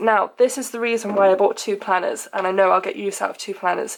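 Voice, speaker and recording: Very fast speech from a woman in a British accent, with fairly even intonation. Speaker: lifestyle blogger. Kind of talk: casual talk to camera.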